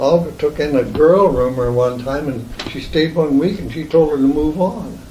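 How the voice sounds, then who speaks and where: With a Midwestern US accent, a man talks at a fairly high pitch with ordinary variation, amid audible room echo and noticeable background noise. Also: moderate pace. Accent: US Midwest. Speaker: oral history interviewee. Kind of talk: oral history interview. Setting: at home. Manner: halting.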